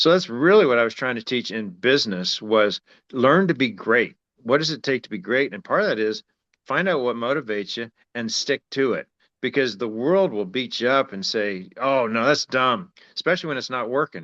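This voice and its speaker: A man's medium-pitched voice at a moderate pace, dry and close with no echo, against a quiet background. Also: lively intonation. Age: 60s. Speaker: former business professor and entrepreneur. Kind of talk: podcast interview. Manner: conversational, animated.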